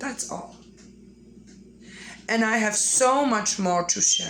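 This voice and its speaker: Through noticeable background noise, a woman with a fairly high pitch speaks at a very slow pace with ordinary pitch variation. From Poland. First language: Polish. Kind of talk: casual talk to camera.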